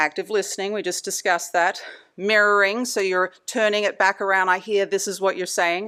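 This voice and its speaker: This woman talks at a moderate pace in a medium pitch, her bright, sharp tone held in a monotone, flat intonation on a very clean recording with a silent background. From Australia. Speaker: anesthesia provider giving a talk. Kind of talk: lecture.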